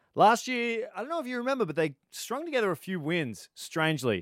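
A man at a moderate pace with lively intonation, on a very clean recording with a silent background and a dry, close sound with no echo. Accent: Australian. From Australia. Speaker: podcast co-host. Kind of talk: casual sports chat.

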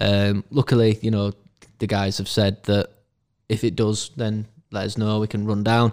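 Speaking with a Yorkshire accent at a moderate pace, a man delivers flat, monotone lines broken by long, frequent pauses, recorded very cleanly against a silent background with a dry, close sound and no echo. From northern England, Castleford, West Yorkshire. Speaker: brewery owner. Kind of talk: casual chat. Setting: in person recording.

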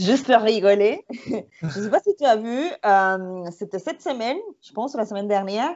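With a Spanish accent, the speaker talks at a moderate pace with lively intonation and big swings in loudness. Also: woman, fairly high pitch for a woman. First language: Spanish (speaking French). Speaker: tour guide and podcast co-host. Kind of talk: casual chat. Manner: halting.

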